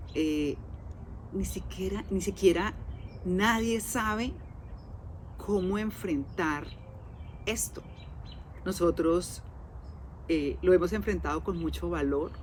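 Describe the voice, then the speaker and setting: Very slowly, a woman speaks, with long, frequent pauses. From Colombia. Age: 60s. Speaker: podcast host. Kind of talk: casual monologue.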